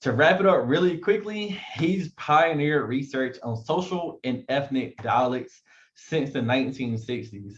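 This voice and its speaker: A man speaks with an eastern North Carolina accent. His voice is somewhat breathy, with ordinary pitch variation. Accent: eastern North Carolina Southern. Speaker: event host. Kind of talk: event introduction. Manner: fast.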